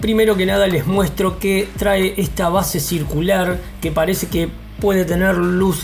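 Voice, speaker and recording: Light background noise sits under a man's high-pitched voice, which moves at a moderate pace in a monotone, flat intonation. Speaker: toy collector reviewer. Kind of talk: casual unboxing review. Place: home room.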